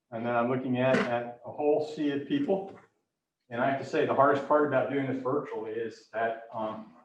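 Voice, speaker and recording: A man at medium pitch, fairly quick pace, ordinary pitch variation, and audible room echo. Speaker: research professor giving a public lecture. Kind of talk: lecture. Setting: virtual lecture from an empty auditorium podium. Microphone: sounds a little muffled behind the mask.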